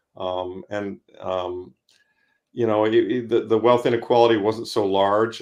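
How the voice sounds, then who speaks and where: The background is quiet. A man speaks in a flat monotone. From US Midwest (Ann Arbor, Michigan). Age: 60s. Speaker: fund manager and investor. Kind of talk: podcast interview. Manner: halting, many fillers.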